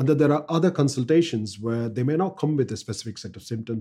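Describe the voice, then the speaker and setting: Very fast and somewhat breathy, a man speaks with a dark, mellow tone and ordinary pitch variation. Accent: Tamil. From South India. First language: Tamil. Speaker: doctor and medical educator. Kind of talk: casual chat.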